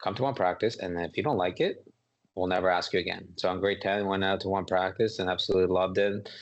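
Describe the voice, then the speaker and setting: A man with a very deep, low voice and a Canadian accent, very fast speech, and fairly even intonation. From Canada (Ontario), immigrated from Kosovo at nine. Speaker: professional football player and business development lead. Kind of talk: podcast interview.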